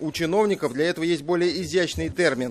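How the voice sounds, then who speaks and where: A man talks at a moderate pace in an unremarkable speaking voice. His pitch sits fairly high. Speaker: TV news correspondent. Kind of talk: news report narration.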